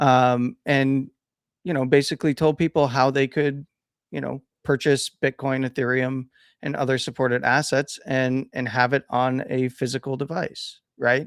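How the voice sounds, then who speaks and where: The recording is very clean, dry and close with no echo, over a silent background. A man speaks at a moderate pace and a medium pitch with monotone, flat intonation. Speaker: crypto show host. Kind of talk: casual chat.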